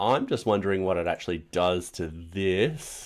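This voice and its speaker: Here a man talks with a fairly low pitch. He keeps a moderate pace and ordinary pitch variation. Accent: Australian. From Australia. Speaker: programming streamer. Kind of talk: live coding stream. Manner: casual, rambling with fillers.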